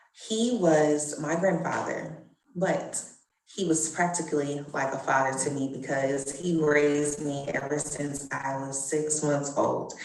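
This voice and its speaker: Amid audible room echo, a woman with an American accent and a very deep, low pitch speaks fairly slowly with fairly even intonation. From US South, Louisiana. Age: adult. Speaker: genealogy presenter. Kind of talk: personal testimony.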